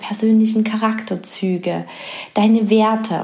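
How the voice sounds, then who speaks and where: Over noticeable background noise, a woman speaks at a fairly slow pace. Her medium-pitched voice has a soothing, calm tone. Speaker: podcast host and coach. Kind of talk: guided meditation. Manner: slow, soothing, calm, soft-spoken; gentle, pausing, hushed.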